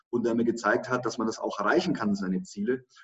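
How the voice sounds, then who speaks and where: This man has a plain, everyday voice at medium pitch with ordinary pitch variation. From Germany, Lower Franconia (Schweinfurt). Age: 30s. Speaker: online marketing entrepreneur and speaker. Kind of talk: interview.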